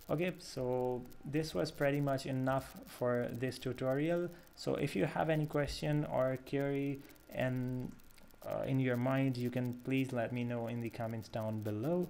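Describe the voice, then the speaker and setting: A man's medium-pitched voice with a non-native accent and ordinary pitch variation. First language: not English. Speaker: programming tutor. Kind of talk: tutorial. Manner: halting, many fillers.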